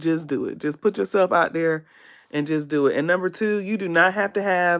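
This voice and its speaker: Woman at medium pitch, with a slight Southern US accent. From US South, South Carolina. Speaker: beauty content creator. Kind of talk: livestream makeup tutorial, casual. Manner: casual, hesitant with fillers.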